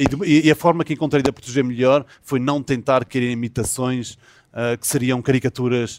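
A man's medium-pitched voice with fairly even intonation, recorded dry and close with no echo. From Azores, São Miguel. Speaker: film and TV director, series creator. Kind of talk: interview. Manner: halting, many fillers and repetitions.

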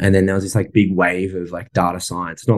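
This voice carries an Australian accent. The delivery comes at a fairly quick pace. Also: man. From Sydney, Australia. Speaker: property investor and software business owner. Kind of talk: casual interview chat.

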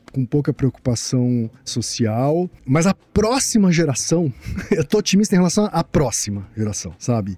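A man with a dark, mellow tone and fairly high pitch speaks at a fairly slow pace, his loudness very even but his pitch swinging very widely, in a dry, close sound with no echo. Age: 50s. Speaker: advertising consultant and podcaster. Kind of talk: interview conversation.

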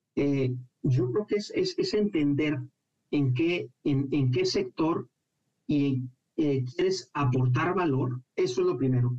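Very slowly, a man speaks at a fairly high pitch in a dark, mellow tone that is somewhat breathy, his loudness very even. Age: 30s. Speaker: financial consultant and business professor. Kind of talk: radio interview. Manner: halting, with many fillers.

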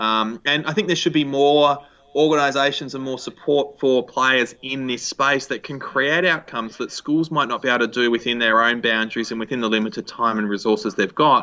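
With an Australian accent, a man at a medium pitch talks at a fairly quick pace with hardly any pauses and ordinary pitch variation. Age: 20s. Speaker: education entrepreneur. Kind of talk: interview. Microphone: echo in the recording.

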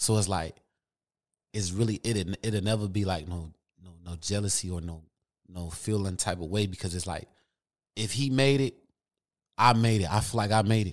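Moderately paced speech in an American accent, with long, frequent pauses and big swings in loudness, on a very clean recording with a silent background. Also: man, fairly low pitch for a man, ordinary pitch variation. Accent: regional accent noted by host. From Michigan (Grand Rapids). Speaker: rapper. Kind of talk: casual interview. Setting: studio.

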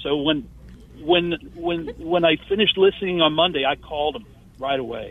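With a plain, everyday voice, a man speaks at a fairly high pitch and moderate pace with ordinary pitch variation. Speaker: caller. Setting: phone call.

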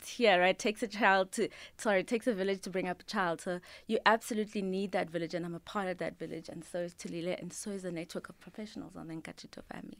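The woman talks very fast at a medium pitch. Her loudness swings widely while her pitch varies in an ordinary way. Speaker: management consultant and career coach. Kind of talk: casual radio interview. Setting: radio studio.

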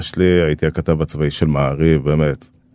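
Fairly even intonation marks this man's speech. The recording is very clean, with a silent background. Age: 40s. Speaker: journalist and documentary maker. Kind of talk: interview.

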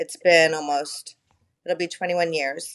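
A woman with an American accent, her pitch fairly low, with ordinary pitch variation. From California (Bakersfield). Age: 50s. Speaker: grieving daughter, friend of host. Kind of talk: casual chat.

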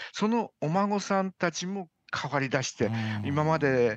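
Very wide pitch swings from a man at a fairly slow pace, quiet background. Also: dry, close sound with no echo. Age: 70s. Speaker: doctor. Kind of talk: radio interview. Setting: remote call.

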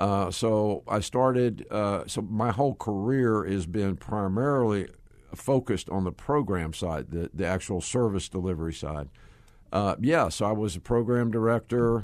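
In a Southern US accent, a man talks at a moderate pace with a fairly low pitch and ordinary pitch variation against a quiet background. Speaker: ministry executive. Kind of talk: casual interview chat.

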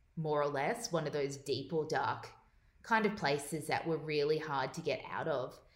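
A woman speaks at a moderate pace in an Australian accent, her pitch very deep and low, with ordinary pitch variation. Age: 30s. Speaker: eating disorder advocate. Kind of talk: interview.

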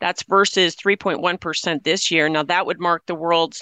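Fairly even intonation with a dry, close sound and no echo. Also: woman. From South Dakota. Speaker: farm news broadcaster. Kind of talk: news reading.

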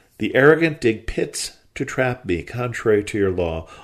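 An ordinary speaking voice from a man at medium pitch, moderate pace, and a quiet background. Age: 60s. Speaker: Bible study podcast host. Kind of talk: Bible teaching.

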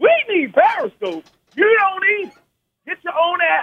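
A man's voice, extremely high in pitch, with ordinary pitch variation. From Baltimore, US. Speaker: caller. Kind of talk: phone-in call. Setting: phone call. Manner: emotional, halting.

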